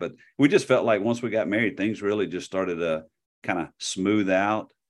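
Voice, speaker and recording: In a normal speaking voice, a man speaks at a fairly quick pace, fairly low in pitch with ordinary pitch variation, against a quiet background. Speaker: former college quarterback. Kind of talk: casual interview.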